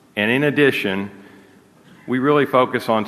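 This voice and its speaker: Speaking at a fairly quick pace with fairly even intonation, a man is heard over noticeable background noise and audible room echo. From United States. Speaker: energy company executive. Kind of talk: conference talk; audience Q&A.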